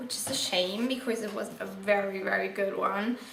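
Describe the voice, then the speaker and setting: There is audible room echo as a woman speaks at a fairly slow pace. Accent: non-native. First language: not English. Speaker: book vlogger. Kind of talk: casual book review monologue. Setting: indoors in bright sunlight, video. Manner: casual with frequent fillers.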